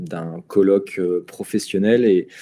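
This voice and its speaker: Over a quiet background, a man speaks very slowly in a very deep, low voice. His tone is dark and mellow, his intonation fairly even. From Brittany, France (Lorient). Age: 40s. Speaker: real estate investment presenter. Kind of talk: live webinar presentation. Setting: online livestream. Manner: halting, many fillers and repetitions.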